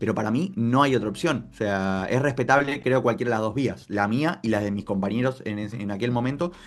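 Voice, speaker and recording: Fairly quick speech from a man with an Argentine accent, fairly low in pitch with ordinary variation. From Argentina. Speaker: football journalist and content creator. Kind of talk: interview answer.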